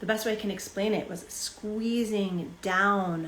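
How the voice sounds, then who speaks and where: In a room with audible echo, a woman speaks fairly slowly at a medium pitch with fairly even intonation. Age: 40s. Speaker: spiritual teacher. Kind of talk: live-streamed talk.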